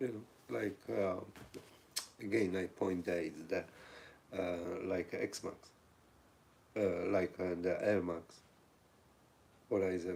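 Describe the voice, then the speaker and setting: Pausing long and often at a very slow pace, a man with a very deep, low pitch and a Polish accent speaks with ordinary pitch variation. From Poland. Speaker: livestream host. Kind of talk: casual live chat reading viewer comments.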